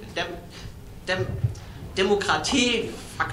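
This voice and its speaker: Someone with a German accent speaks fairly slowly over noticeable background noise. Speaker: audience member. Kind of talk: audience question. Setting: stage with audience. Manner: halting.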